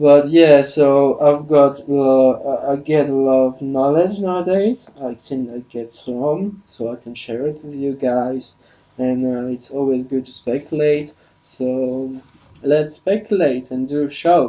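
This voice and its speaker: A man with a French accent talks at a fairly slow pace in a fairly high pitch. His intonation stays fairly even while his loudness swings a lot. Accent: non-native English, French. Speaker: podcast host. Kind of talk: solo podcast monologue. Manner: halting, many fillers and restarts.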